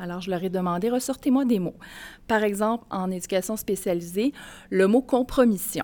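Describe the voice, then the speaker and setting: A woman with a dark, mellow tone speaks at medium pitch and a moderate pace with ordinary pitch variation, on a very clean recording with a silent background. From Mauricie, Quebec. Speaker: college educator. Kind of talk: live podcast interview before audience. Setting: stage with audience.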